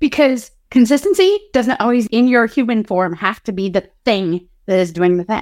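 Heard with a dry, close sound and no echo, a woman with a fairly high pitch uses a plain, everyday voice with lively intonation at a moderate pace. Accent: American. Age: 40s. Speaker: ADHD coach. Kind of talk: live training and Q&A.

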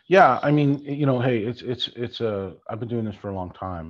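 A man talks at a fairly quick pace in a plain, everyday voice. His intonation is lively. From Ontario, Canada. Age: 50s. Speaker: sports business executive and film producer. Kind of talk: interview.

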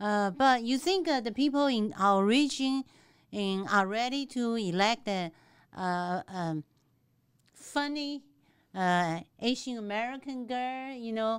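Speaking with a Taiwanese accent at a very slow pace, a woman uses lively intonation in a fairly high pitch, captured in a very clean recording with a silent background. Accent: non-native English, Taiwanese. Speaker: state legislator. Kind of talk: interview. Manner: animated.

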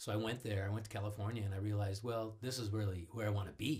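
A man with a Midwestern American accent talks at a very fast pace. His fairly low voice is somewhat breathy. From US Midwest, Cleveland. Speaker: voice-over artist. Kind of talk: casual chat. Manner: animated.

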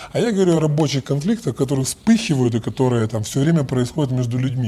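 A man's medium-pitched voice at a fairly quick pace, with lively intonation. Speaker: bank executive and lecturer. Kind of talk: casual interview. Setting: remote call. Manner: halting, with many repetitions.

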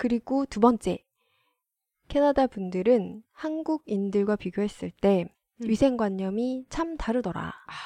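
A woman talks very slowly in a fairly high voice with lively intonation and a dark, mellow tone. The sound is dry and close with no echo, over a quiet background. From South Korea. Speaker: former journalist. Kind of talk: casual chat.

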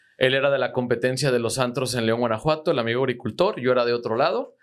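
A man of medium pitch with ordinary pitch variation has an unremarkable speaking voice. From Mexico, Zitácuaro, Michoacán. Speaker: agricultural marketer and entrepreneur. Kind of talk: casual interview. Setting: studio.

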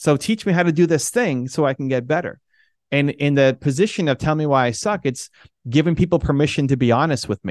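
Against a quiet background, a man with a fairly high pitch talks at a fairly quick pace with lively intonation, the sound dry and close with no echo. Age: 40s. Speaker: entrepreneur and speaker. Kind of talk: interview. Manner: animated.

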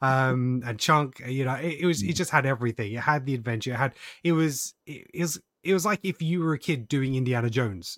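On a very clean recording with a silent background and a dry, close sound with no echo, a man with a British accent talks at a medium pitch and a fairly quick pace, with ordinary pitch variation. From UK. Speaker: podcast host. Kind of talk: casual chat.

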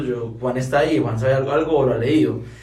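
Audible room echo and noticeable background noise accompany a man's fairly quick speech. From Colombia, Santander (Bucaramanga). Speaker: chef, creative agency co-founder. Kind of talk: casual chat.

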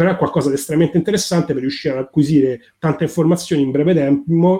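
At a very fast pace, a man talks in a dark, mellow tone at a fairly high pitch with ordinary pitch variation. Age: 40s. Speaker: financial advisor and investment blogger. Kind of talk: interview conversation. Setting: live stream.

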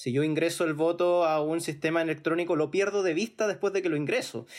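In a very clean recording with a silent background, a man talks at a fairly quick pace in a high voice. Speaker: podcast host. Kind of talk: panel discussion.

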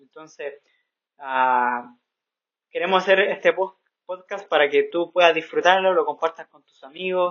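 A plain, everyday voice at a moderate pace. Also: man. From Santiago, Chile. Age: 20s. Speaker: missionary podcaster. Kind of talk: casual chat.

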